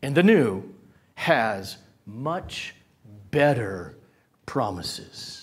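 A man's voice with vocal fry and very wide pitch swings, over a quiet background. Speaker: preacher. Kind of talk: sermon. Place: church. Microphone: lapel.

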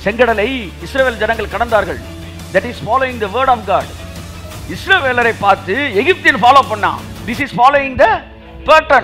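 In a raised, projected voice of extremely high pitch, a man speaks with ordinary pitch variation over faint background music. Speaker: pastor / preacher. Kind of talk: sermon preaching to a congregation. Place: church. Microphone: headset.

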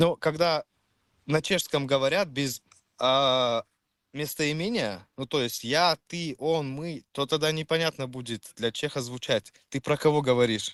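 Fairly high pitch from a man, with ordinary pitch variation, a dry, close sound with no echo, and a quiet background. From Czech Republic. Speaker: chat stranger. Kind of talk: casual chat.

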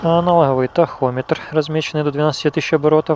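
Fairly even intonation, with a dry sound with no echo and light background noise. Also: man. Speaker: motorcycle owner reviewer. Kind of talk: tutorial. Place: street.

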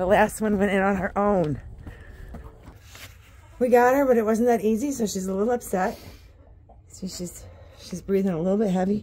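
A woman is speaking at a moderate pace. Her pitch rises and falls in an ordinary way. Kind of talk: casual vlog chat. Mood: gentle, cheerful. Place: farm machine. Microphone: phone near.

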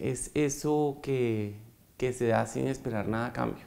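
The speech moves at a very slow pace. Its pitch varies in an ordinary way. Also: man. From Bogotá, Colombia. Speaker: foundation president, economist; interview guest. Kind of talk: interview. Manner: hesitant, many fillers. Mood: warm, reflective. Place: studio. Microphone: lapel.

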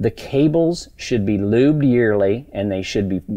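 The backdrop stays quiet. A man's delivery is fairly slow. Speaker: race car shop owner. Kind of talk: angry rant. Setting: workshop video, demonstrating parts. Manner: agitated, emphatic, blunt, profane. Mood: frustrated, emphatic. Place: workshop.

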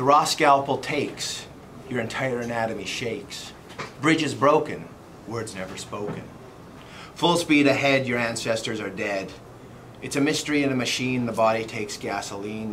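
A man talks at a moderate pace, his pitch varying in an ordinary way, with light background noise present. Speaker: poet. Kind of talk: poetry reading, rhyming couplets. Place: home room. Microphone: camera far.

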